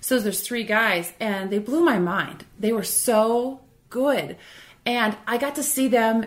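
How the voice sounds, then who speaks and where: Fairly high in pitch with ordinary pitch variation, the woman speaks in a normal speaking voice. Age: 40s. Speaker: music fan and former bartender. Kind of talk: casual chat.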